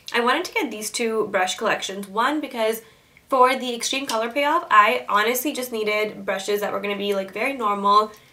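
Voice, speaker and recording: The speaker keeps a moderate pace with ordinary pitch variation. Noticeable background noise is present. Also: woman. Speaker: beauty vlogger. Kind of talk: product review.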